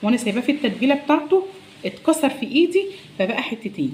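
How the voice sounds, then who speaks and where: A woman in an Egyptian accent, high-pitched, with very wide pitch swings. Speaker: cooking vlogger. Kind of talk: cooking tutorial. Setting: home kitchen. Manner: soft-spoken.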